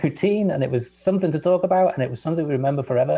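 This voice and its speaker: Lively intonation marks this man's speech. He talks with an English accent. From England. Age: 60s. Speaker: guest scientist. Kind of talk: casual chat.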